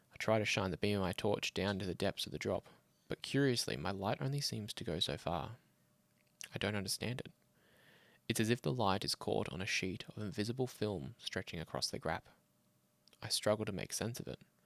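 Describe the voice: A man speaks at a fairly quick pace, his pitch fairly low and his tone fairly bright, with vocal fry. His intonation is lively, and the sound is dry and close with no echo.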